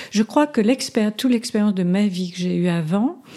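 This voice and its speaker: In a very clean recording with a silent background, a woman speaks at medium pitch with a dark, mellow tone. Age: 70s. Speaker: psychotherapist and hypnotherapist. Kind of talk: interview; guided hypnotic induction. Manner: slower, modulated hypnotic delivery.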